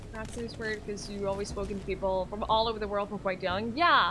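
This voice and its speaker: A woman's fairly high voice at a fairly quick pace, with fairly even intonation and audible room echo. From Norway. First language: Norwegian. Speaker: streamer. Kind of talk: live gaming stream chat. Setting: live stream.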